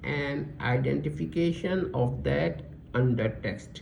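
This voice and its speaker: A man talks at a very slow pace, and room echo is audible around him. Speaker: religious lecturer. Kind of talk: lecture. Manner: halting, self-correcting; reading aloud slowly, deliberate.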